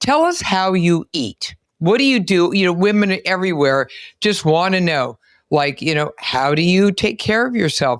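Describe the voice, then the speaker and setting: A woman's ordinary speaking voice, medium in pitch, at a moderate pace with lively intonation, in a dry, close sound with no echo. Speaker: physician and podcast host. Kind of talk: podcast interview host talk.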